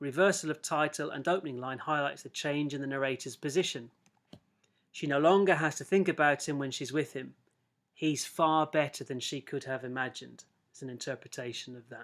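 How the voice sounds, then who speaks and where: In a very clean recording with a silent background, a man with an English accent speaks fairly quickly at a fairly high pitch, with ordinary pitch variation and big swings in loudness. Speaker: English teacher. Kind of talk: lecture. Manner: fast.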